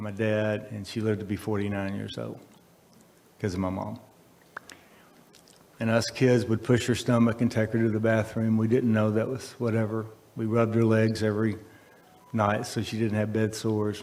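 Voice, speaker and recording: At a moderate pace broken by long, frequent pauses, a man talks in a fairly low, monotone voice with flat intonation. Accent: Texan. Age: 70s. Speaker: speaker at a college event. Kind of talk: speech at a ribbon cutting.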